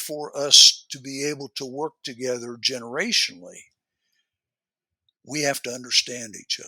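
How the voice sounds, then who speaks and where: A bright, sharp voice with an American accent moves at a moderate pace. It has a dry, close sound with no echo. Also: man. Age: 70s. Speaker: workplace culture guest on leadership podcast. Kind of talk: podcast interview.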